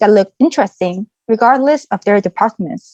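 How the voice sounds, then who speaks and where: A woman with a Korean accent talks at a fairly quick pace with lively intonation, in a dry, close sound with no echo. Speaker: former exchange student. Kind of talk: presentation.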